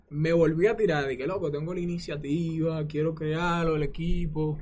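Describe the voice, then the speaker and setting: A man speaks with a fairly high pitch. Room echo is audible. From Dominican Republic, San Cristóbal. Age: 20s. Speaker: gamer and streamer. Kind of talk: interview.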